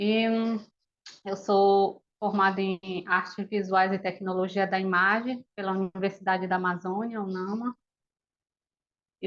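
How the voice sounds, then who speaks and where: A woman's medium-pitched speech at a fairly slow pace with fairly even intonation. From northern Brazil, Belém, Pará. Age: 30s. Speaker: animator. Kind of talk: interview. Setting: video call.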